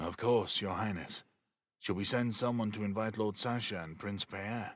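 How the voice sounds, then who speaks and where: On a very clean recording with a silent background, a man does a put-on character voice, fairly low in pitch, at a moderate pace with fairly even intonation. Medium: read story. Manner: quiet.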